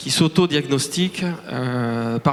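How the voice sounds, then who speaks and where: A man speaks with a Toulouse accent. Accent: Toulouse (southern French). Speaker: startup director. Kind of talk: conference talk. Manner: hesitant, many fillers and repetitions.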